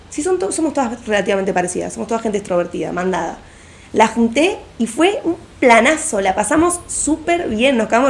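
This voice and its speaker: Against noticeable background noise, a woman talks at a fairly quick pace. Her high voice swings very widely in pitch. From Argentina, Buenos Aires southern suburbs. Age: 20s. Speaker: architecture student. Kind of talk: casual chat.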